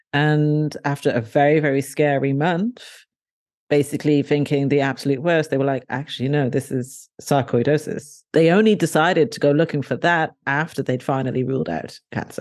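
A woman speaks with a southern English accent in a very deep, low pitch, with ordinary pitch variation. The background is quiet. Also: moderate pace. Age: 40s. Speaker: author and blogger. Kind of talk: interview conversation.

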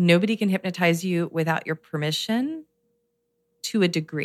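At a moderate pace and fairly low pitch, a woman speaks in a calm tone with ordinary pitch variation, the sound dry and close with no echo. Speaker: meditation teacher and hypnotherapist. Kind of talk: interview chat.

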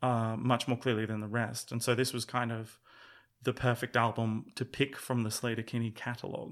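Against a silent background in a very clean recording, a man with an Australian accent and a medium pitch speaks in a flat monotone. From rural Australia. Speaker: musician and former music journalist. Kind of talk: casual chat.

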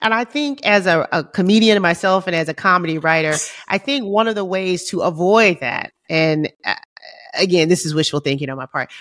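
The woman has an ordinary speaking voice at a medium pitch. She talks at a fairly quick pace. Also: lively intonation. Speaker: podcast co-host and comedian. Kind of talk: casual chat.

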